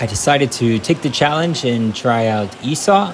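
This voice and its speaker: A man speaks fairly slowly, and noticeable background noise is present. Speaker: food vlogger. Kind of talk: casual vlog chat.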